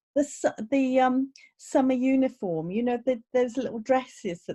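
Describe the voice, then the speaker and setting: Delivered at a moderate pace, the speech carries a dark, mellow tone. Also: woman. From Birmingham, English Midlands. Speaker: podcast host, vocal coach. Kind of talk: podcast interview. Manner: animated.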